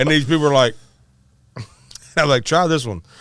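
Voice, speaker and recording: With a Southern US accent, a man talks at a fairly high pitch. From Arkansas. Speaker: musician. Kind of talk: casual chat.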